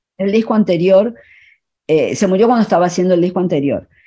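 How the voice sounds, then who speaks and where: A woman's medium-pitched voice with a dark, mellow tone. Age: 60s. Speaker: photographer and filmmaker. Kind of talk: radio interview. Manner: halting.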